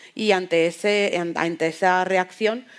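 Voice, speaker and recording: An unremarkable speaking voice with ordinary pitch variation. The recording is very clean, with a silent background. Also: woman. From Spain. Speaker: novelist. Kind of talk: panel discussion.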